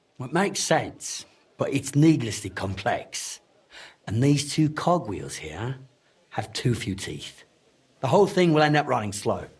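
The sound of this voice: A man puts on a character voice with a husky, rough edge. He speaks at a fairly slow pace with big pitch swings. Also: medium pitch for a man.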